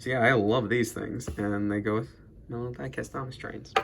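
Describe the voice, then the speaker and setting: A man speaks at a medium pitch with ordinary variation. Noticeable background noise is present. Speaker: toy train collector YouTuber. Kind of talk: casual show-and-tell unboxing. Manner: halting, many fillers.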